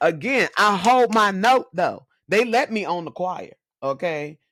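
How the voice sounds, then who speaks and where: Lively intonation marks this woman's medium-pitched voice as she speaks at a fairly slow pace. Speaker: preacher. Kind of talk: casual chat.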